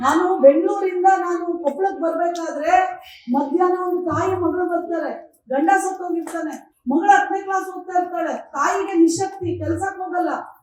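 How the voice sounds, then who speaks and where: A woman speaks with an extremely high pitch and fairly even intonation. Room echo is audible. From Karnataka, village. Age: 50s. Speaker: women's commission chairperson. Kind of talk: public speech.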